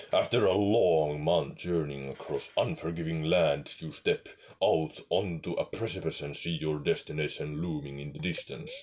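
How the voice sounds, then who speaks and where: A man performs a put-on character voice. It sits at a very deep, low pitch with ordinary pitch variation. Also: moderate pace. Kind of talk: epic fantasy narration. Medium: game stream. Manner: dramatic, grave.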